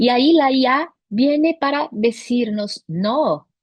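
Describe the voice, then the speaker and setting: With lively intonation, this woman talks in a high voice. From Brazil. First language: Portuguese (speaking Spanish). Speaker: teacher training consultant. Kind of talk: conference talk.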